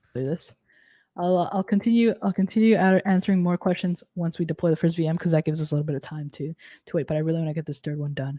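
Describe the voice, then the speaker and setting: Delivered at a very fast pace, the voice has a dark, mellow tone and ordinary pitch variation. The sound is dry with no echo, over a quiet background. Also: woman, fairly low pitch for a woman. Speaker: cloud technology instructor. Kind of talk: live technical tutorial. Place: home room.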